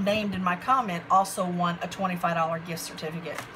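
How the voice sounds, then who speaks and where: Fairly even intonation carries this voice at a moderate pace over noticeable background noise. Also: woman. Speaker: craft hobby vlogger. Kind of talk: product haul show-and-tell. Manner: halting, self-described stuttering; casual, chatty.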